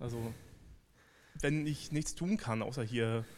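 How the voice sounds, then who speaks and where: This man speaks with a medium pitch. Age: 30s. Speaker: church member giving testimony. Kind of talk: testimony.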